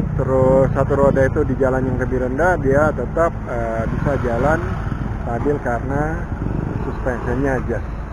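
The voice comes at a moderate pace in a dry sound with no echo, over loud background noise. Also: man. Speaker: vlogger. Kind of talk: casual vlog chat. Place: street. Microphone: phone near.

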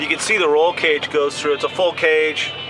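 Clear music plays in the background as a man talks at a fairly quick pace. His intonation is monotone and flat. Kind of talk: commentary. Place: street.

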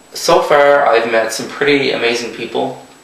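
Recorded with audible room echo and noticeable background noise, a man speaks in a Canadian Maritime accent. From Canada, Prince Edward Island. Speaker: travel vlogger, English teacher. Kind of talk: vlog monologue.

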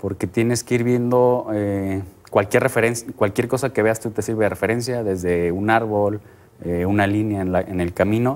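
A man with a fairly low pitch and fairly even intonation uses an unremarkable speaking voice. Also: moderate pace. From Mexico. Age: 30s. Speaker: triathlete; guest. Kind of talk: TV interview.

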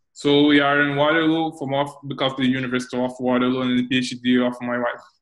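A man with a Brazilian accent and monotone, flat intonation, against a quiet background. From Brazil, Rio de Janeiro. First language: Portuguese. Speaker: software developer; interviewee. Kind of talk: interview. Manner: halting. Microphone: earbuds.

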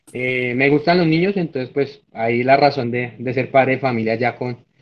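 A man's speech has a moderate pace and ordinary pitch variation. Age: 20s. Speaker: student; candidate. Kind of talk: mock job interview. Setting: video call. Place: home room. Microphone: video call.

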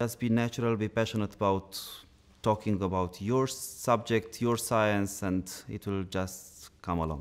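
Faint music plays in the background as a man with a Romanian accent speaks with fairly even intonation. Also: fairly low pitch for a man, fairly slow pace. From Romania, Bucharest. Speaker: dental science lecturer. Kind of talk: interview. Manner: halting, many filler sounds. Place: studio.

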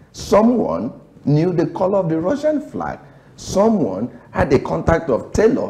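At a fairly slow pace, a man speaks with a high pitch, a dark, mellow tone and very wide pitch swings. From Nigeria. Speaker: political analyst. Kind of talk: TV panel commentary. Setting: TV studio. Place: studio. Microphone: lapel.

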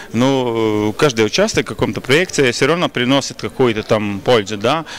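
Pitch variation is ordinary for this man. He talks at a moderate pace. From Latvia, Riga; Latvia. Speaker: pop singer; interviewee. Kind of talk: interview; interview answer. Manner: halting. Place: hall. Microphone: handheld.

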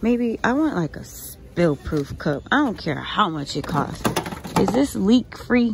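A woman's voice at a fairly slow pace with very wide pitch swings, dry with no echo, amid loud background noise. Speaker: couponing vlogger and mom. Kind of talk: casual vlog with a frustrated, venting rant about her toddler's sleep and leaky bottles. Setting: shopping at a store and in her car, filming herself. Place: shop. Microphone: phone near.

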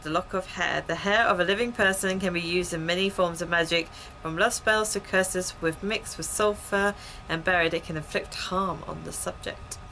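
A woman speaks at a fairly quick pace with fairly even intonation while music plays in the background. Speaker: gaming streamer. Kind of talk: let's play commentary, reading game text aloud. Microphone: headset.

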